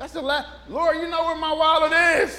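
A man's raised, projected voice at an extremely high pitch. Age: 60s. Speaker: pastor. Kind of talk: informal conversational sermon with scripture reading and call-and-response amens. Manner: loose, chatty and animated, with frequent repetitions, stumbles and laughter; audience-engaging, prompting amens and joking with the congregation.

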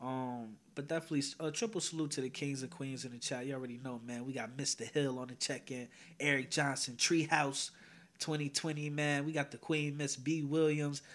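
A man with an American accent talks at a fairly quick pace and a fairly high pitch. His is a plain, everyday voice with fairly even intonation. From northern New Jersey (Teaneck). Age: 20s. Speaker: YouTube commentary host. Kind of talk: casual panel discussion. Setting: online livestream.

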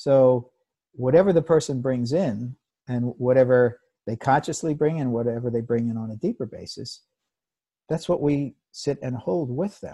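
A somewhat breathy, dark, mellow voice with an American accent, at a moderate pace with ordinary pitch variation and long, frequent pauses, over a quiet background. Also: man. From United States. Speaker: psychotherapist. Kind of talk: interview. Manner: halting.

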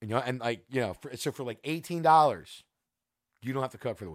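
In an American accent, a man talks very fast. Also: very clean recording, silent background. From New Jersey (Cedar Knolls). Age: 40s. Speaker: podcast host and musician. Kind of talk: casual chat. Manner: casual, halting with repetitions.

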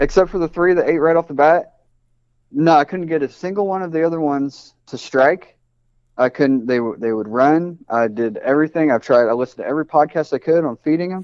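This man has an American accent and an ordinary speaking voice, pitched fairly high. He talks at a fairly quick pace with ordinary pitch variation. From US Midwest, Indianapolis. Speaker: snake breeder. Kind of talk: casual chat.

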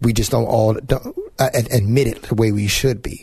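A dark, mellow tone, somewhat breathy. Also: man. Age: 40s. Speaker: radio show host. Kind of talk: interview. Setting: studio.

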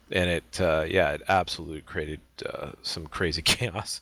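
A man speaks with a very deep, low pitch and fairly even intonation. The recording is very clean, the background silent. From Canada. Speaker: sim racing podcast co-host. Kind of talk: casual chat.

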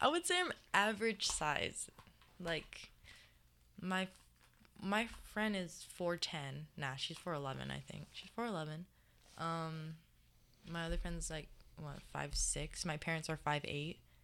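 A woman with a Hawaiian accent speaks very slowly, leaving long, frequent pauses. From Hawaii, Mililani on Oahu. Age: 18. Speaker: college student athlete. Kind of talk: casual interview.

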